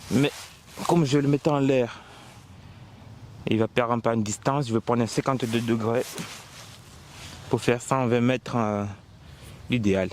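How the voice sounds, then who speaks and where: A man's medium-pitched voice at a fairly slow pace, with long, frequent pauses, fairly even intonation and very even loudness. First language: not French (speaking French). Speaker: golf vlogger. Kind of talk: casual vlog narration. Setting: outdoors on golf course.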